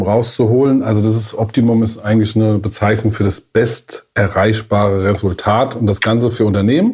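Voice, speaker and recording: At a moderate pace, the voice has a dark, mellow tone, is somewhat breathy, and keeps fairly even intonation. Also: man. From Germany, Frankfurt area. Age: 40s. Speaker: management consultant. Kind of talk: casual podcast chat.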